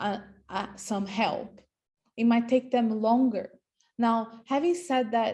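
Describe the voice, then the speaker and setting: A woman with a non-native accent talks very slowly at a fairly high pitch, with ordinary pitch variation and long, frequent pauses. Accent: foreign, non-Australian. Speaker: property agent. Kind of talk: presentation. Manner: halting.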